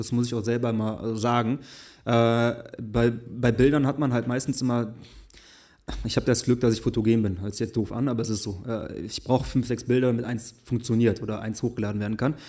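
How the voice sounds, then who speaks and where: Speaking at a fairly quick pace, a man uses a monotone, flat intonation with a dark, mellow tone at a medium pitch. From western Germany, Essen. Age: 20s. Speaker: fashion blogger. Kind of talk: casual chat. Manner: halting.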